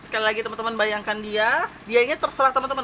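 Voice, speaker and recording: Noticeable background noise sits behind a woman's voice. She speaks fairly high and at a fairly quick pace. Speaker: tarot reader. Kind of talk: tarot reading to viewers.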